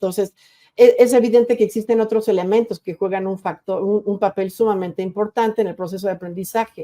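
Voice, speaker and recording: Fairly quick and fairly even in intonation, a woman's medium-pitched voice has a dark, mellow tone, recorded dry and close with no echo. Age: 60s. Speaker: university rector and educator. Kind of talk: lecture. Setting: virtual conference. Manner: halting, frequent repetitions and self-corrections.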